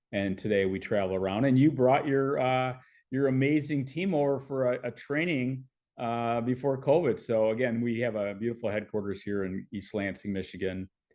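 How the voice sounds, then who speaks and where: A man speaks at a moderate pace in a plain, everyday voice. His pitch varies in an ordinary way. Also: medium pitch for a man. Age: 60s. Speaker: fitness author and speaker. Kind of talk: podcast interview.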